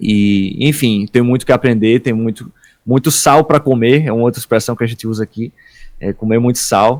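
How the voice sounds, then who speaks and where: On a very clean recording with a silent background, a man with an unremarkable speaking voice talks at a moderate pace. His pitch is medium and his intonation fairly even. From Northeast Brazil, Paraíba. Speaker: worship ministry leader. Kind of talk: podcast interview.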